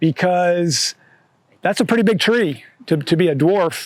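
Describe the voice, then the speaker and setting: A man speaks at a high pitch. The sound is dry and close with no echo, in a very clean recording with a silent background. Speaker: horticulturist leading a garden tour. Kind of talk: guided walking tour talk. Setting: outdoors in a garden with a group. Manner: casual, many fillers.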